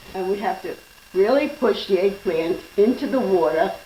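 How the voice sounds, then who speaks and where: A woman at medium pitch and moderate pace, ordinary pitch variation, over noticeable background noise. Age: 80s+. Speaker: home cook. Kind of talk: cooking demonstration.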